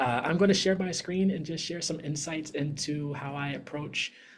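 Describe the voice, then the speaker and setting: Somewhat breathy male voice, fairly high in pitch, with ordinary pitch variation. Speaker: music producer and composer. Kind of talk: webinar presentation. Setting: video call. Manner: fast; clear.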